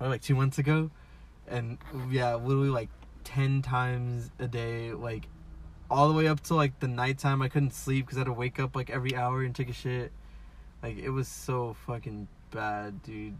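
A man with an American accent sounds somewhat breathy, his intonation monotone and flat. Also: medium pitch for a man, moderate pace. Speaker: podcast co-host. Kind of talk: casual chat. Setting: in a car.

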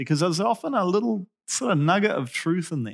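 Delivery moves at a fairly quick pace with very wide pitch swings. The recording is very clean, the background silent. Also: man. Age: 40s. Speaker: preacher. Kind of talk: sermon.

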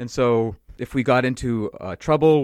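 A man with an American accent and a plain, everyday voice, medium pitch and ordinary pitch variation against a quiet background. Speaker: podcast co-host and software worker. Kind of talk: casual chat. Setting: remote call.

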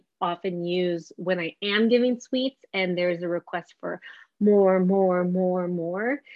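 Here is an unremarkable speaking voice with a Canadian accent. It moves at a fairly slow pace with ordinary pitch variation. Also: woman. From Canada, Vancouver. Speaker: dietitian. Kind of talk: interview.

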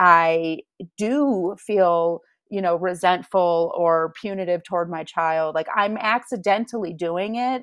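Against a quiet background, a woman talks fairly slowly in an ordinary speaking voice at medium pitch, with ordinary pitch variation. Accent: American. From Michigan, Grand Rapids. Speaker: parent coach. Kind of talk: interview.

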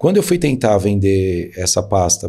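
With a São Paulo accent, a man speaks at a moderate pace in a fairly low pitch, his tone dark and mellow and somewhat breathy. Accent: Paulistano Brazilian Portuguese. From São Paulo, Brazil (east zone). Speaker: entrepreneur. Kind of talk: interview.

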